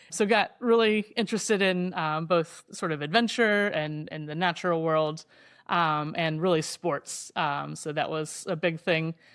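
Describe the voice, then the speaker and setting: A woman with an American accent speaks in an unremarkable speaking voice, fairly low in pitch, at a fairly slow pace. Her pitch varies in an ordinary way, and the recording is very clean with a silent background. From Indiana, US Midwest. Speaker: professor and ocean rower. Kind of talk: interview storytelling.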